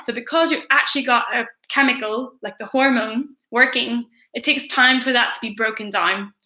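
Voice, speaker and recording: A woman with a Northern Irish accent speaks at a high pitch and a moderate pace. Her tone is bright and sharp, with ordinary pitch variation. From Northern Ireland. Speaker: teacher. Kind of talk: revision livestream tutorial. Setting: livestream.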